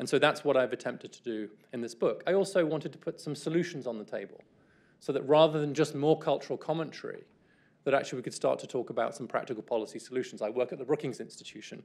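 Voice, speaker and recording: In a British accent, a man with a fairly high pitch talks at a very fast pace with ordinary pitch variation. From England. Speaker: author guest. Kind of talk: lecture. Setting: stage with audience. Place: stage.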